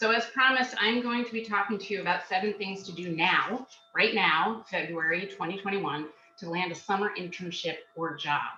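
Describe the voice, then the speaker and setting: Noticeable background noise runs under a woman's voice. She speaks at medium pitch with ordinary pitch variation. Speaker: job search skills coach. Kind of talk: webinar presentation. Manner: loud; fast.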